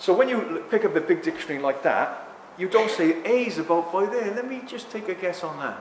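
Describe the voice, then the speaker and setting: Through audible room echo and noticeable background noise, a man with a South Wales accent talks at a fairly quick pace, high-pitched with lively intonation. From South Wales (Barry). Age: 60s. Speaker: author and speaker. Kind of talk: public talk. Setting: stage with audience. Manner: animated.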